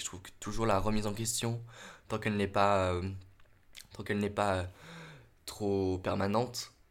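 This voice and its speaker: Fairly low in pitch, a man's voice keeps a fairly even intonation. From Normandy, France. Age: 20s. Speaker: drama student and actor. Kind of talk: casual interview. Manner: halting.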